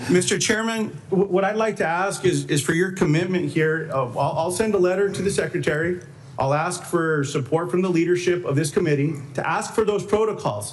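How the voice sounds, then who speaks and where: In a New Mexico accent, a man talks at a fairly quick pace with a high pitch and ordinary pitch variation. The recording has audible room echo and noticeable background noise. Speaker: senator. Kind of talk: heated debate. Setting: Senate committee hearing. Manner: interrupting, insistent.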